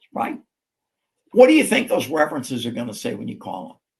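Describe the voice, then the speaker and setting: With vocal fry and a fairly high pitch for a man, he speaks at a fairly quick pace while his pitch swings very widely. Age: 70s. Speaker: real estate company co-founder. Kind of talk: interview conversation. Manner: animated.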